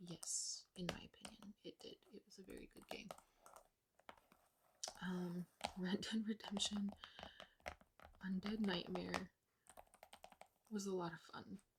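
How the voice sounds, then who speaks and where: Soft-spoken and relaxed, a woman of medium pitch talks fairly slowly in a monotone, flat way, with long, frequent pauses and big swings in loudness. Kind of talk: ASMR soft talking / rambling to camera. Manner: soft-spoken, quiet, relaxed.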